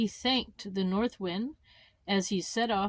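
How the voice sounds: Intonation stays fairly even throughout this natural reading voice.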